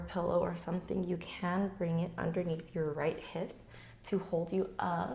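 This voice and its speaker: At a moderate pace, a woman speaks in a fairly low voice with monotone, flat intonation. Room echo is audible. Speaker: yoga teacher. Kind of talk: guided yoga class instruction. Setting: garage at home.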